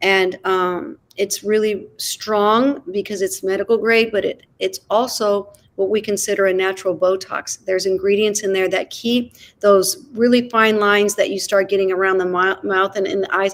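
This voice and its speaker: A woman with an American accent speaks at a moderate pace with a medium pitch, fairly even intonation and hardly any pauses. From US Midwest. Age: 60s. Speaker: dancer and skincare business owner. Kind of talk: interview. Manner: halting.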